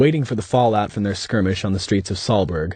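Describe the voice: The speaker reads plainly aloud with ordinary pitch variation.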